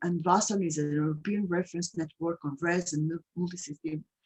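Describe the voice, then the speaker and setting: A woman with a Portuguese accent speaks at a moderate pace, her pitch fairly low. Her pitch variation is ordinary, and the sound is dry and close with no echo. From Portugal. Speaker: patient advocate. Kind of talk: webinar introduction. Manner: halting.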